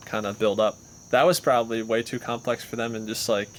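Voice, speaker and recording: A man speaks at a fairly quick pace in a medium pitch. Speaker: podcast co-host. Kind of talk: casual chat. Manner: loud.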